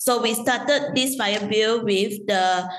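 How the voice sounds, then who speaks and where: A woman with a fairly high voice speaks very slowly with ordinary pitch variation. Audible room echo surrounds her. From Malaysia. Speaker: loyalty program executive. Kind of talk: interview. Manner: halting, many fillers.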